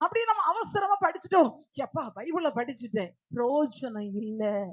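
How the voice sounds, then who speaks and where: Loud and with very wide pitch swings, a woman speaks. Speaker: preacher. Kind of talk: sermon.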